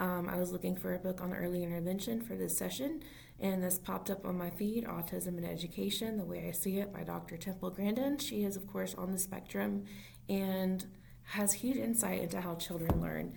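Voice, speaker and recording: Noticeable background noise and an audible room echo come through in this recording. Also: woman. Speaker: early intervention special education teacher. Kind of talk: informal solo talk to camera. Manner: fast; halting.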